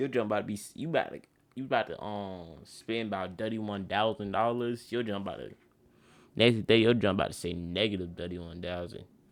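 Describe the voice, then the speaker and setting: Talking at a fairly quick pace, a man with a fairly low voice uses ordinary pitch variation and big swings in loudness on a very clean recording with a silent background. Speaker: streamer reacting to a video. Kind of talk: reaction commentary. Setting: at home at night. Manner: quiet, talking low.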